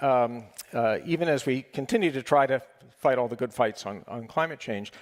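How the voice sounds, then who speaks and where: In a very clean recording with a silent background, a man speaks in a normal speaking voice with an American accent, at medium pitch with ordinary pitch variation. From United States. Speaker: panel moderator. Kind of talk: panel discussion.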